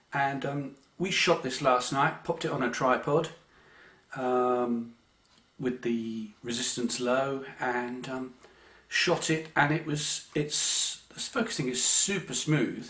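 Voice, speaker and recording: In an English accent, a man at a medium pitch speaks at a very slow pace. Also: ordinary pitch variation. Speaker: amateur photography youtuber. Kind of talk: casual chat. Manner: hesitant, many fillers.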